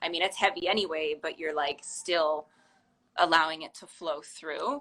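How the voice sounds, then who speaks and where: With a bright, sharp tone, a woman speaks fairly slowly in a fairly low voice. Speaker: podcast host. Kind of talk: podcast interview question. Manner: casual, hesitant.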